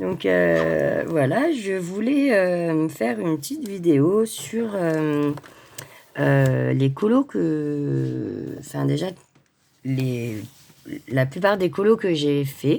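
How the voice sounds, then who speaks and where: A woman at a very slow pace with long, frequent pauses. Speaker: coloring hobbyist vlogger. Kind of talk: casual vlog. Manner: halting, many hesitations.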